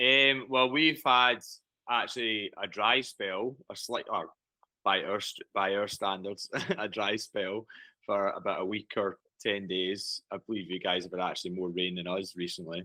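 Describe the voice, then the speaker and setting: Speaking with a Scottish accent, a man keeps a moderate pace at a fairly low pitch with ordinary pitch variation. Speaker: race director and farmer. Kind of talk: casual chat.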